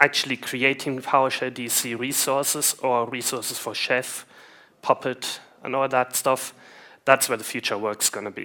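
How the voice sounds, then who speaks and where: In a German accent, a man speaks at a moderate pace with monotone, flat intonation. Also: medium pitch for a man. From Germany. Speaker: IT consultant, conference speaker. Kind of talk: conference talk. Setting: stage with audience.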